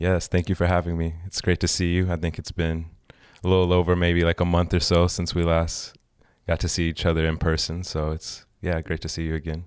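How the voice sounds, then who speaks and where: On a very clean recording with a silent background, a man with an American accent talks fairly quickly in a very deep, low voice with monotone, flat intonation. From Oklahoma and Austin, Texas. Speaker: photographer. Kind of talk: interview storytelling. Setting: in-person recording.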